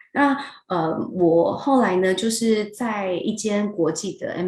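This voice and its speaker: A woman is speaking. She has a Taiwanese accent. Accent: Taiwanese Mandarin. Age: young. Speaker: HR director. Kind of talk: interview. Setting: video call.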